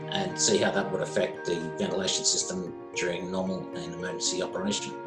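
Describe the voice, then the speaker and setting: The speech moves at a fairly quick pace with clear music in the background. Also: man. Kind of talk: interview answer. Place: home room. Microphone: webcam.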